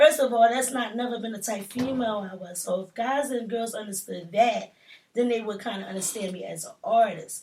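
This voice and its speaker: Somewhat breathy and animated in tone, the speaker moves at a fairly quick pace with ordinary pitch variation and big swings in loudness. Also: woman, fairly high pitch for a woman. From Philadelphia. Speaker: rapper. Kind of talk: casual interview.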